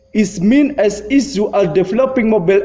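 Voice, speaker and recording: Ordinary pitch variation runs through a man's fairly slow delivery. Noticeable background noise is present as well. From Indonesia. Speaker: lecturer. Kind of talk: lecture. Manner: halting.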